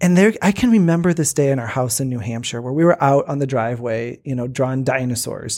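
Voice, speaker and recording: At a very fast pace and with hardly any pauses, a man speaks in a medium pitch with ordinary pitch variation. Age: 40s. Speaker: worship pastor. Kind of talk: casual chat. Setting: studio.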